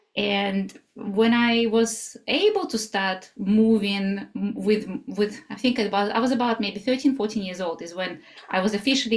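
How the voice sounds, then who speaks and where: Somewhat breathy, a woman with a Russian accent speaks at a fairly high pitch and a moderate pace, with ordinary pitch variation. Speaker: somatic life coach. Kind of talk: interview. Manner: halting.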